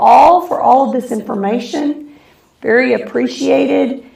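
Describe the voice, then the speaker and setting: Amid audible room echo, a woman with a high pitch talks at a fairly slow pace, her pitch swinging very widely. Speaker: school district live show host. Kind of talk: live stream Q&A. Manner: voice breaking in and out.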